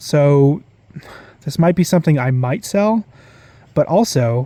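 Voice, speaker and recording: A man talks at a fairly slow pace. His fairly high voice has a dark, mellow tone. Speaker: card collector YouTuber. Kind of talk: casual pack-opening commentary. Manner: stuttering from excitement.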